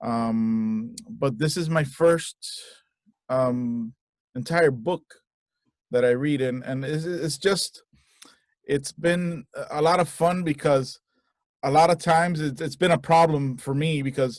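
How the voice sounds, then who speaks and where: Speaking at a very slow pace with long, frequent pauses, a man has fairly high pitch and ordinary pitch variation. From Cuban-American. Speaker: voice-over artist and audiobook narrator. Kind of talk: casual interview chat. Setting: video call from home audio booth. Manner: halting, many fillers and repeats.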